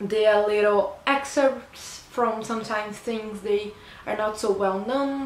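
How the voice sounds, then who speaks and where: A woman speaks at a fairly slow pace in a Portuguese accent, with ordinary pitch variation. Light background noise and audible room echo are present. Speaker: book reviewer. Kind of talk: book review vlog. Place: home room. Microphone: phone near.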